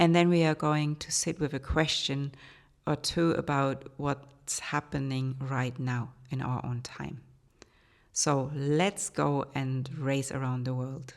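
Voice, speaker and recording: A woman speaks in a German accent at a very slow pace, her pitch very deep and low. The recording is very clean, with a silent background. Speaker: art historian and podcast host. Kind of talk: educational podcast monologue.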